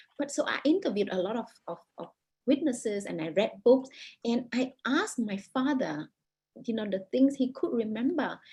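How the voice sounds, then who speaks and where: A woman speaks with a Vietnamese accent at a moderate pace. Her high voice has a dark, mellow tone and lively intonation. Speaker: author. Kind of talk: interview. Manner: halting, many repetitions.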